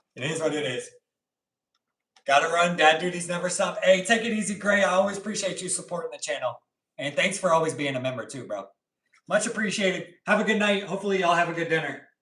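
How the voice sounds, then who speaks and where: A man's high voice at a very fast pace, with ordinary pitch variation. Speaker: pet channel host. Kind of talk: casual livestream chat while cooking. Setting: home kitchen livestream. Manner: casual, relaxed.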